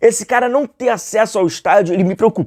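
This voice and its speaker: A man speaks in a high pitch. The sound is dry and close with no echo, in a very clean recording with a silent background. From Rio de Janeiro, Brazil. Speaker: football YouTuber. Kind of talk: casual commentary monologue. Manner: conversational, many fillers.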